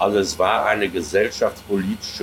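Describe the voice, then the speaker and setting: A man with a fairly low pitch. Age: 70s. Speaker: author and science fiction historian. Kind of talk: interview. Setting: outdoor restaurant. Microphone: poor sound quality.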